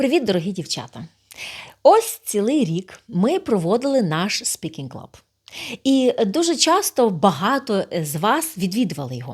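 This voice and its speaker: A woman at medium pitch, fairly slow, with very wide pitch swings, big swings in loudness and vocal fry. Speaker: speaking club host. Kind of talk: direct address to camera, video appeal.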